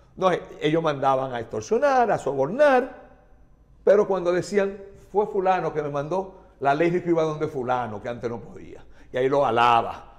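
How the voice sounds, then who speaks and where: A man talks at a moderate pace against a quiet background. His fairly high voice moves in very wide pitch swings. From Dominican Republic. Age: 60s. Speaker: chemist and politician; politician. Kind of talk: TV interview. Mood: indignant, angry. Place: studio. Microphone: lapel.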